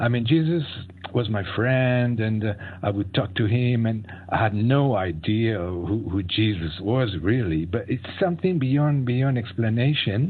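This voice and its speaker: A man with a French accent speaks at a fairly slow pace, his medium pitch rising and falling in lively intonation. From France. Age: 60s. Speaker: fasting advocate and author. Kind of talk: interview. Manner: halting.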